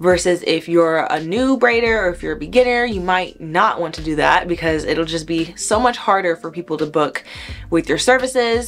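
A fairly low-pitched woman with an American accent, faint music in the background. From US South, Miami, Florida; Florida. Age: 20s. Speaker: hair braider; hair educator. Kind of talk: tutorial. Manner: conversational.

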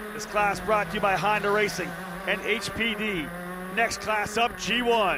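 A man's excited, high-pitched voice, raised and projected over noticeable background noise. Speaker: race commentator. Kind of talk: live race commentary. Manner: fast-paced, rattling off positions and names; excited, urgent call.

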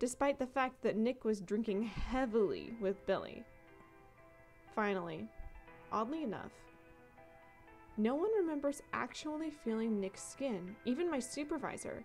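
Music plays behind a woman with a high pitch. Her intonation is lively and her pace moderate. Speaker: story narrator. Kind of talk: story reading.

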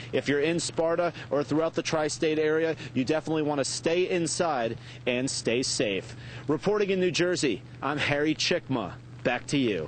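A man at a moderate pace, ordinary pitch variation, very even loudness, a dry sound with no echo, and light background noise. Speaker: TV field reporter. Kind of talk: live news report. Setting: outdoors in snowstorm. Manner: formal. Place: street. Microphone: lapel.

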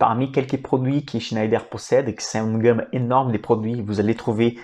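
A man with a Brazilian accent, medium pitch, dark, mellow tone and monotone, flat intonation, against a quiet background. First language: Portuguese (speaking French). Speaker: financial analyst and investing YouTuber; investment educator. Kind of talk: educational stock analysis presentation; explanatory lecture on stock analysis. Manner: hesitant with fillers. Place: home room. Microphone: lapel.

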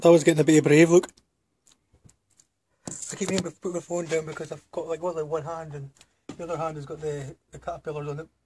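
A man's fairly high, dark, mellow voice in a Scottish accent, flat and monotone, very fast yet broken by long, frequent pauses, with light background noise. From Scotland. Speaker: vlogger. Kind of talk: casual vlog talk to camera. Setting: home recording, poor sound.

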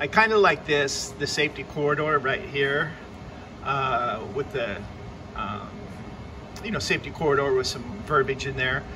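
A man at a moderate pace with ordinary pitch variation, music playing in the background. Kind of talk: casual tutorial narration. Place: office. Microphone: phone near.

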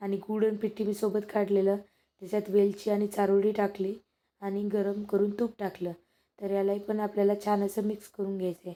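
Flat, monotone delivery in a dark, mellow tone. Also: woman, medium pitch for a woman. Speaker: cooking vlogger. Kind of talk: cooking tutorial.

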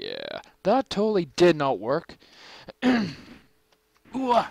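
Against a quiet background, a man speaks at a very slow pace, the sound dry with no echo. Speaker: gaming YouTuber. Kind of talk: gameplay commentary. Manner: animated. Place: home room. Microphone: headset.

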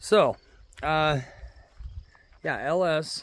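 A man speaks with ordinary pitch variation. The sound is dry, with no echo. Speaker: tractor owner. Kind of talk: casual vlog chat. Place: farm machine. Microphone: phone near.

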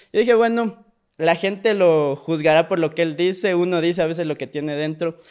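High-pitched man at a fairly quick pace, ordinary pitch variation, quiet background. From Ecuador, Pasaje (El Oro coast); Ecuador. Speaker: actor and screenwriter; actor. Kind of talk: casual interview chat. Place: studio. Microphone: studio mic.

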